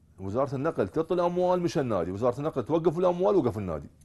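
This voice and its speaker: A man speaks with a dark, mellow tone and very wide swings in pitch. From Iraq. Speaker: youth football coach. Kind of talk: TV sports talk show interview. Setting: studio. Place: studio.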